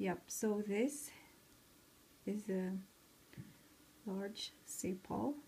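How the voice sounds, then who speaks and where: The voice is somewhat breathy. Long, frequent pauses break up the speech. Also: woman. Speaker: craft tutorial maker. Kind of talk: casual craft tutorial talk.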